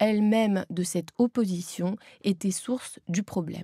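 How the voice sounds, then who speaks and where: With a dark, mellow tone and a somewhat breathy quality, a woman speaks at medium pitch in a dry, close sound with no echo and a very clean recording over a silent background. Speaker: author and Zen Buddhist nun, former voice teacher. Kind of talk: audiobook reading of her own book. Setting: professional recording studio.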